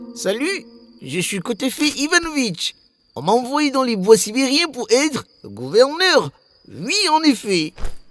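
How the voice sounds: In a cartoonish character voice with a pompous tone and fairly high pitch, the speaker talks at a fairly slow pace.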